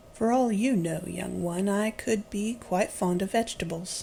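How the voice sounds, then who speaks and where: The speaker uses a put-on character voice at a middle pitch. Clear background noise is heard throughout. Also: female-sounding voice, moderate pace. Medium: read story. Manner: prim, slightly indignant.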